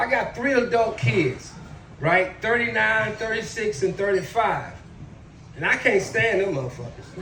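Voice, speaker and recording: With an animated tone and a raised, projected voice, a man speaks at high pitch and a moderate pace, his pitch swinging very widely. Audible room echo and noticeable background noise are present. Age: 60s. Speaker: stand-up comedian, military veteran. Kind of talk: stand-up.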